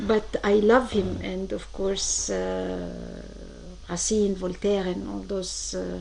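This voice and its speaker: Amid audible room echo and noticeable background noise, a woman speaks at a very slow pace. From Egypt. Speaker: marketing expert. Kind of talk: radio interview. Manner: hesitant, many fillers.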